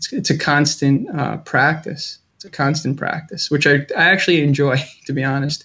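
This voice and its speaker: Using an unremarkable speaking voice with an American accent, a man keeps a moderate pace and fairly even intonation while his loudness swings widely. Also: fairly high pitch for a man. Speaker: school social worker. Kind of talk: casual interview.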